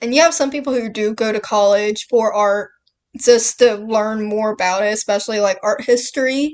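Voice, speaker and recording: A woman with a Southern US accent speaks in a fairly high pitch. Her pace is moderate and her pitch varies in an ordinary way. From Southern United States. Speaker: artist. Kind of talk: casual talk to camera. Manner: rambling.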